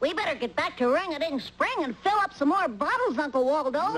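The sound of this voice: A cartoonish character voice pitched high. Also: fairly quick pace.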